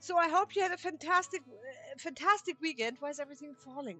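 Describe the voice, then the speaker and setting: Very fast talk from a woman over music in the background. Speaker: microgreens grower. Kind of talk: casual vlog narration. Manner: halting, repetitive.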